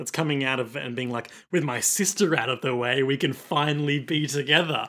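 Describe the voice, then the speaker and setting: A man speaks with an Australian accent in a fairly high pitch and a bright, sharp tone. His pitch variation is ordinary, and the recording is very clean with a silent background. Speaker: podcast co-host. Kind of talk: casual chat.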